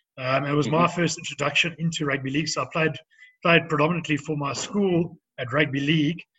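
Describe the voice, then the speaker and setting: A man talks at a very fast pace with a South African accent. His pitch is fairly high and his intonation fairly even. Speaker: former professional rugby player. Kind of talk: interview. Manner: halting.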